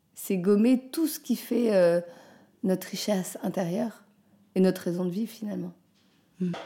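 Speaking fairly slowly, the woman has a dark, mellow tone. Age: 40s. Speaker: artist living with cancer. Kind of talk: personal testimony. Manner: halting, many fillers and repetitions.

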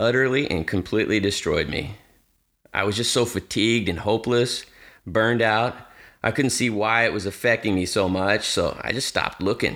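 This very clean recording has a silent background. A man speaks at a medium pitch and moderate pace with ordinary pitch variation. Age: 50s. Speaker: dog trainer and podcast host. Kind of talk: solo podcast monologue. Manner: repeats words, hesitant starts.

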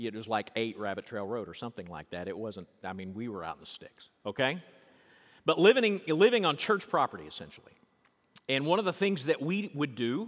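Very fast man in a Southern US accent, on a very clean recording with a silent background. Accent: Southern US, noticeable. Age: 50s. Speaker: pastor. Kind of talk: sermon. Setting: church.

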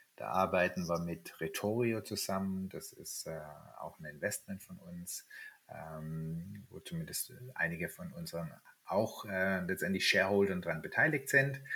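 A man speaks at a fairly slow pace. His loudness swings widely throughout. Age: 50s. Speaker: startup founder. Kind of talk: interview. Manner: hesitant, many filler words.

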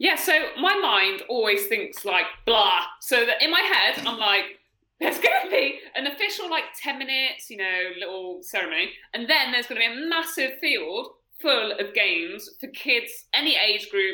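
Pitched high with very wide pitch swings, a woman speaks at a moderate pace in an English accent. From UK. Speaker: triathlete. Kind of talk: casual chat. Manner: animated.

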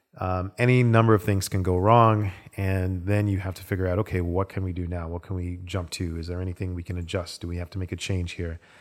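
A man's very deep, low voice at a very fast pace, monotone and flat, with hardly any pauses, in a very clean recording over a silent background. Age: 40s. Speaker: assistant director and storyboard artist. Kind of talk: casual interview chat.

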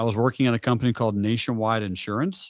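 Energetic in tone, a man with an American accent speaks at a medium pitch. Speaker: trading educator and business founder. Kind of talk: interview.

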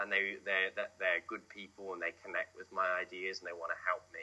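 A man speaks over noticeable background noise. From England. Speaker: film director. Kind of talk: interview. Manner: hesitant, many fillers.

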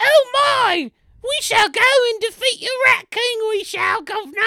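This is a put-on character voice with a British accent. The pitch is extremely high. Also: moderate pace. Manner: mock-posh, exaggerated.

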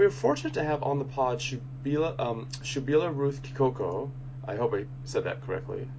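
A man with a medium pitch speaks fairly quickly with fairly even intonation while background noise is noticeable. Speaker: podcast host. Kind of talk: interview, host intro.

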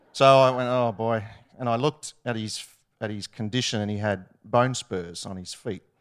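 With an Australian accent, a man of medium pitch talks at a moderate pace and fairly even intonation in a very clean recording with a silent background. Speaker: ministry student. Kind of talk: testimony. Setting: stage with audience.

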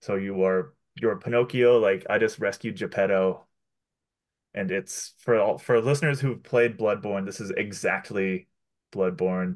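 This man has a plain, everyday voice, fairly low in pitch with ordinary pitch variation, and he talks at a fairly slow pace. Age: 30s. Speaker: podcast co-host. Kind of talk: casual chat.

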